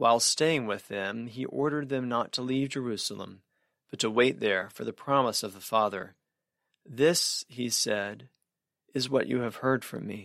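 A man speaks in an ordinary speaking voice at medium pitch with ordinary pitch variation and big swings in loudness. The recording is very clean, with a silent background. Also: moderate pace. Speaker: scripture reader. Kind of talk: reading aloud.

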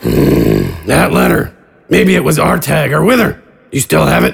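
A man uses a put-on character voice, raspy and very deep in pitch. He speaks at a moderate pace. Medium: actual play. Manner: terse, guarded, blunt.

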